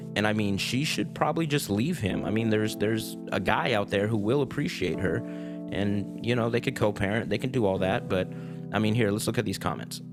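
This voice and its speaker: Over music in the background, a man speaks at a fairly quick pace and a fairly low pitch, with ordinary pitch variation. His tone is calm and his loudness very even. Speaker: reddit story reader and musician. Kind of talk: reading aloud with commentary. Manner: calm, low-key; hesitant, repetitive fillers.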